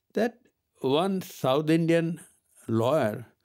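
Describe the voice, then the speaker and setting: Very slowly, a man speaks. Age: 80s+. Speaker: senior advocate. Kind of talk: interview answer, anecdote telling.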